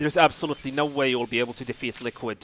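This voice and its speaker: His pitch sits in the medium range. Sound is close and dry, without echo. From Saudi Arabia. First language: Arabic. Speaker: video game streamer. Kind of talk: live stream commentary.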